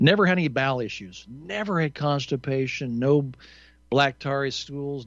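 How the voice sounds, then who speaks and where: In a quiet background, a man with a fairly high pitch talks at a moderate pace in an unremarkable speaking voice. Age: 60s. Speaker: talk radio host. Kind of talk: call-in radio show.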